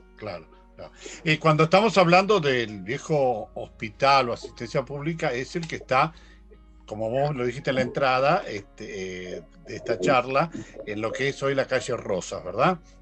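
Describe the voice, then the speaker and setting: A man with a fairly high pitch speaks at a moderate pace with lively intonation and big swings in loudness, music playing in the background. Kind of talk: cultural program host interview.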